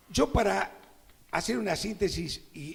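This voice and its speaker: This is a man speaking. His voice has vocal fry. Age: 70s. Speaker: advertising copywriter presenting a novel. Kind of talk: book launch presentation speech.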